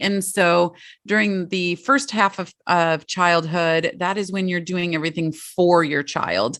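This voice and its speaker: Spoken at a fairly slow pace, the voice comes through on a very clean recording with a silent background. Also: woman. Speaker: family life and leadership coach. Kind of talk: podcast interview. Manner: passionate.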